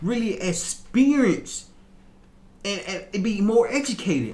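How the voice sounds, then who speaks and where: The speaker has an American accent, with noticeable background noise and audible room echo. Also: man. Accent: strong Southern US accent when relaxed. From US South, Little Rock, Arkansas. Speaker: motivational podcaster. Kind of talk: motivational talk. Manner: repetitive, stumbling in places.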